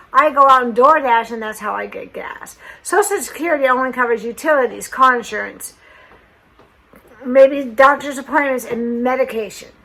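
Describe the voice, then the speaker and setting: A woman speaks at a moderate pace in a high voice, with noticeable background noise behind her. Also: big swings in loudness. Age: 60s. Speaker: lifestyle vlogger. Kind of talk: personal vlog, partly read from script.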